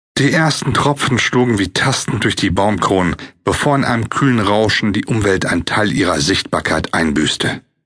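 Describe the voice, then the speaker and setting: A man with a normal speaking voice talks in a fairly low pitch. His intonation is lively and his loudness is very even. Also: moderate pace. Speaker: audiobook narrator. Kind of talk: audiobook narration, dramatic and atmospheric reading of a fiction text.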